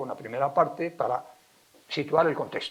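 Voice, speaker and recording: Speaking with a Castilian accent, a man keeps a moderate pace and a fairly high pitch with ordinary variation. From Spain, Valladolid (Castile). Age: 70s. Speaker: lecturer, philologist and writer. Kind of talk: public lecture. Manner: animated, emphatic.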